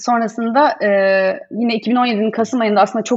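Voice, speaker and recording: A woman's ordinary speaking voice at a fairly high pitch. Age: 30s. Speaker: business founder and designer. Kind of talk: casual interview. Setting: video call.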